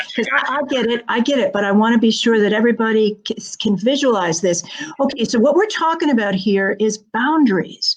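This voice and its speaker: Over noticeable background noise, a woman with a fairly high pitch talks at a fairly quick pace with lively intonation. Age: 70s. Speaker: interviewer, early childhood educator. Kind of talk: interview. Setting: live video broadcast.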